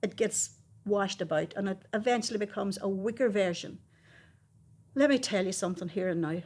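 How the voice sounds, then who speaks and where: Over a very clean recording with a silent background, a woman with a Derry accent speaks at a medium pitch and a fairly quick pace, with ordinary pitch variation and long, frequent pauses. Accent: Derry Northern Irish. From Northern Ireland, Derry. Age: 70s. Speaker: eyewitness interviewee. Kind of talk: oral history interview. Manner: emphatic.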